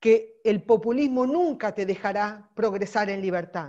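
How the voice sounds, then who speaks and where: A woman talks at a fairly slow pace with lively intonation. Her tone is dark and mellow against a quiet background. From Argentina. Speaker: political volunteer trainer; course trainer. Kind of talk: training lecture; online lecture. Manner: animated. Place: home room. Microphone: earbuds.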